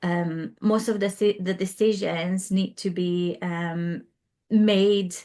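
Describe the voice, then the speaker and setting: A woman speaks with a Hungarian accent at a medium pitch. Her intonation is monotone and flat. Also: quiet background. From Hungary, Budapest. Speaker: interior designer. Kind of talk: interview. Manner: hesitant, many fillers.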